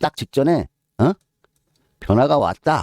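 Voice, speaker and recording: A man's dark, mellow voice moves through very wide pitch swings in a dry, close sound with no echo. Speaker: horse racing tipster. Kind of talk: tutorial. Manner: slow; casual.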